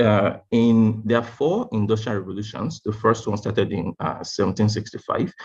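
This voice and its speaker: A man with a fairly low pitch sounds somewhat breathy and speaks with hardly any pauses. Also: ordinary pitch variation. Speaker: tech speaker. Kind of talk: lecture. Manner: fast.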